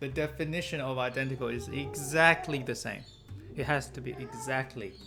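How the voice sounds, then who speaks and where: Moderate pace in a Chinese accent, with music in the background. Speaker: maths tutor. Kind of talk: tutorial.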